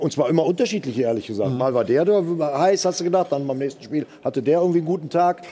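A fairly high-pitched man at a very fast pace, lively intonation and hardly any pauses, over noticeable background noise. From Germany. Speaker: football pundit. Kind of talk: panel discussion.

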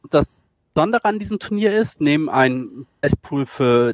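Pitched fairly high, a man's voice swings very widely in pitch at a moderate pace. The sound is dry and close, with no echo. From northern Germany, Schleswig-Holstein. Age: 40s. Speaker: esports video editor. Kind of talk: podcast interview.

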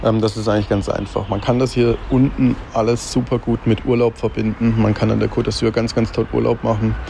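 Moderately paced male speech with noticeable background noise. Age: 20s. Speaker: racing fan. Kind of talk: voice message. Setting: recorded voice message.

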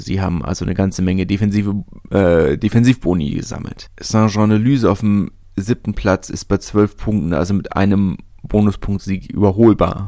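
In a dark, mellow tone, a man speaks at a fairly low pitch with ordinary pitch variation. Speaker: rugby podcast host. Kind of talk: solo commentary podcast. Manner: hesitant with many fillers.

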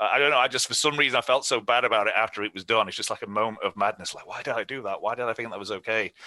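A man with an English accent talks at a very fast pace with hardly any pauses. His pitch is medium, with ordinary variation. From England. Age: 40s. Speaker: former sports PR executive. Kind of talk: casual interview storytelling.

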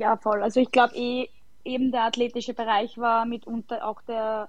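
A woman with a fairly high pitch speaks fairly slowly in a monotone, flat intonation. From Austria, Lower Austria. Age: 20s. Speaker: footballer. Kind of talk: casual chat.

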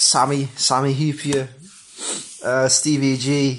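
A man at medium pitch speaks with monotone, flat intonation. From Germany, Hildesheim (Lower Saxony). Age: 20s. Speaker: football fan. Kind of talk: personal fan story.

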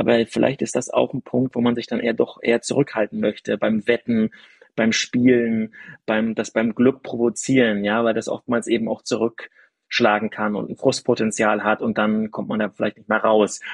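The recording is dry and close, with no echo. A man at medium pitch talks at a moderate pace with monotone, flat intonation. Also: quiet background. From northeastern Germany, village near Rostock. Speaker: sports journalist and author. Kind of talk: casual conversation.

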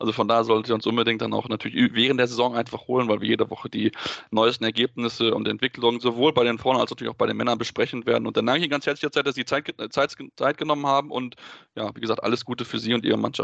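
A man's medium-pitched voice with vocal fry, a flat monotone delivery, a very fast pace and a dry, close sound free of echo. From North Rhine-Westphalia, Germany. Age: 20s. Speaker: podcast host. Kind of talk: casual sports talk.

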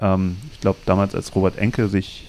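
With a very deep, low pitch and a dark, mellow tone, a man speaks at a fairly slow pace. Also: very clean recording, silent background. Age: 40s. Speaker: podcast host. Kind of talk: casual interview.

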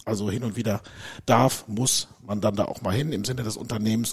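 A man's voice comes out somewhat breathy, moving along at a fairly quick clip, his intonation fairly even. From Germany, Dortmund (Ruhr area). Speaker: company managing director. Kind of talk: interview.

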